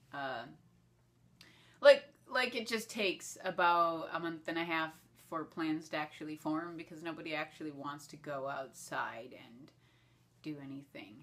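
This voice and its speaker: A woman's very deep, low pitch with lively intonation and long, frequent pauses. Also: moderate pace. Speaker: web show host and actress. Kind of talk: casual vlog monologue answering questions. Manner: halting, many fillers and repetitions.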